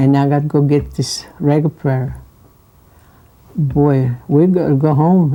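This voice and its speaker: A very slow pace broken by long, frequent pauses. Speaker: Italian immigrant interviewee. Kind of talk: oral history interview.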